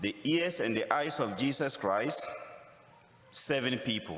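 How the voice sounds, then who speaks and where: A man with a Ghanaian accent speaks amid noticeable background noise and audible room echo. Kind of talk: sermon.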